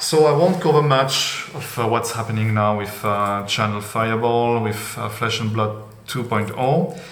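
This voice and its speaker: A man at a medium pitch with a non-native accent, moderate pace and ordinary pitch variation, amid noticeable background noise and audible room echo. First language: not English. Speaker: trading card collector, channel owner. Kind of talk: casual monologue video. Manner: hesitant, many fillers.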